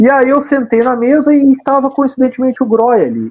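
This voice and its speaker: A man with an extremely high pitch for a man, at a moderate pace. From Brazil, Rio Grande do Sul (Caxias do Sul). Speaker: football radio commentator and club press officer. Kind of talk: casual interview. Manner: animated.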